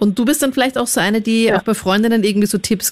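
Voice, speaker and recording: Her pace is very fast as a woman speaks. The pitch varies in an ordinary way. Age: 20s. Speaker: radio host. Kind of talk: call-in radio talk.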